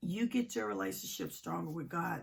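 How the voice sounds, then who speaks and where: Her pitch swings very widely, with vocal fry throughout. The woman speaks at a fairly slow pace. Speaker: relationship advice vlogger. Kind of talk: casual vlog monologue. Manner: hesitant, many fillers.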